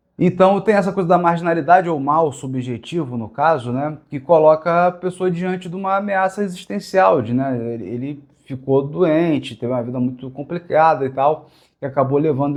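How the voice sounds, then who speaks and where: This man's voice sits fairly high in pitch. He talks at a fairly quick pace with ordinary pitch variation. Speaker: literature teacher. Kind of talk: lecture. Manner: fast; halting.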